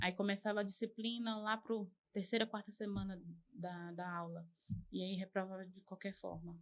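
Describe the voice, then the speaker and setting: At a moderate pace, a woman speaks in a monotone, flat way. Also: medium pitch for a woman. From Arapiraca, Alagoas, Brazil (born São Paulo). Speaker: podcast guest sharing life story. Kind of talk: interview testimony.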